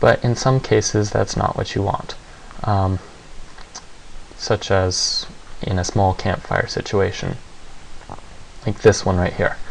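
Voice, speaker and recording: Quiet and monotone, a man speaks in a flat, fairly low voice at a fairly slow pace with long, frequent pauses, over noticeable background noise. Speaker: 3D software tutorial maker. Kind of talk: software tutorial narration.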